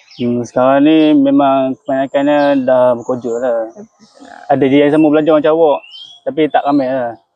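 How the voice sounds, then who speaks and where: In a monotone, flat delivery, a man talks at a moderate pace with a fairly high pitch. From Malaysia, Perak (Kuala Kangsar). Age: young. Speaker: student. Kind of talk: interview.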